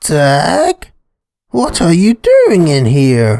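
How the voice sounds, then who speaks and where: A man's put-on character voice, fairly high in pitch, with a dry, close sound and no echo. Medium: read story.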